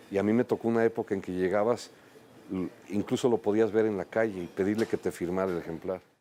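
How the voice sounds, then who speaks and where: A man with a dark, mellow tone. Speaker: writer. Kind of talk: casual interview chat.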